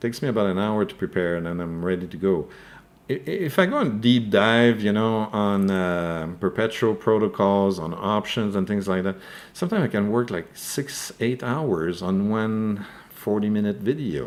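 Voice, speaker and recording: A man with a French accent, fairly low pitch and a moderate pace. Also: ordinary pitch variation, very clean recording, silent background. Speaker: crypto news YouTuber. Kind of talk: live stream commentary with Q&A. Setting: live stream. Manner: hesitant, many fillers and repeated words.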